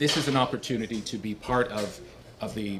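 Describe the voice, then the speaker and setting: Very fast talking from a man, with noticeable background noise behind it. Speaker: former broadcaster, political candidate. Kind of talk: podcast interview. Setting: deli, podcast recording.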